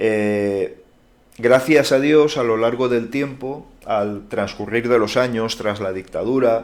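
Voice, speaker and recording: Speaking with a Valencian accent, a man talks at a very slow pace and medium pitch with fairly even intonation. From Valencia region, Spain (Manises). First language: Valencian (speaking Spanish). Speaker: YouTuber. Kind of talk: Q&A monologue.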